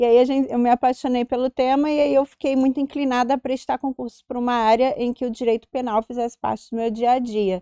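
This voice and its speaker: Speaking very fast with hardly any pauses, a woman with a high, dark, mellow voice keeps a monotone, flat intonation, and the sound is dry and close with no echo. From Rio de Janeiro, Brazil. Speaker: police chief and union president. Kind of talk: interview.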